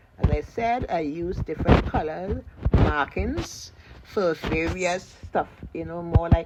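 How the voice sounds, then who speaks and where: Noticeable background noise around a woman's fairly slow speech. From Trinidad and Tobago. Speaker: seamstress and pattern maker. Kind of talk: casual sewing tutorial talk.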